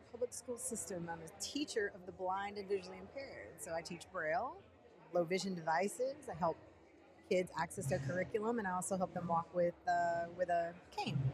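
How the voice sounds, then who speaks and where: There is noticeable background noise as a woman with a Texas accent speaks. Her pace is fairly quick and her pitch medium. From Texas, Dallas. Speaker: teacher of the visually impaired. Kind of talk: casual chat.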